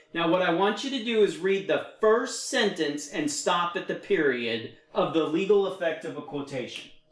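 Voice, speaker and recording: A man with an American accent, high-pitched, with lively intonation, noticeable background noise and audible room echo. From Texas. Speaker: federal construction consultant and teacher. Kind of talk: one-on-one tutoring session. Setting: video call. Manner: slow.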